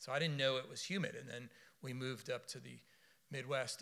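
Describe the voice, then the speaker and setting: The voice has a bright, sharp tone and an American accent, moving at a very fast pace with fairly even intonation. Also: man. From US South, South Florida. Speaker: preacher. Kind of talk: sermon.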